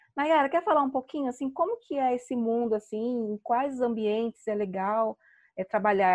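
Against a quiet background, a woman with an ordinary speaking voice talks at a moderate pace, her fairly high pitch showing ordinary variation in a dry, close sound with no echo. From Brazil, São Paulo. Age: 40s. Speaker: podcast host, virtual assistant. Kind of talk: casual chat.

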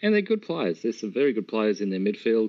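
Here a man with an Australian accent speaks at a medium pitch. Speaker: podcast co-host. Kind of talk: casual chat.

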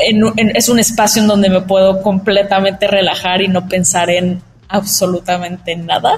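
A woman speaks at a moderate pace in a normal speaking voice with a medium pitch. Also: very even loudness. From Mexico, Cancún. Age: 20s. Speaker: startup founder. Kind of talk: interview.

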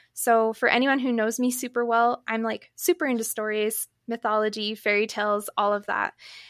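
On a very clean recording with a silent background and a dry, close sound with no echo, a woman with a fairly high pitch speaks at a moderate pace with fairly even intonation. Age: 30s. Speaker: podcaster and yoga instructor. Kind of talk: interview. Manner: calm, peaceful.

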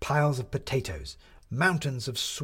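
An unforced reading voice moves through the text with fairly even intonation.

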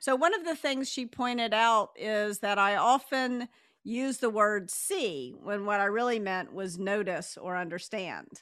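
A woman with a normal speaking voice talks fairly slowly at a fairly high pitch, her intonation lively, in a very clean recording with a silent background. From US South. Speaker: author and executive coach. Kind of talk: interview.

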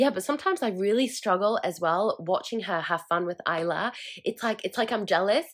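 A woman at medium pitch talks at a fairly quick pace with lively intonation. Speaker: podcast host. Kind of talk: solo casual monologue. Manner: fast.

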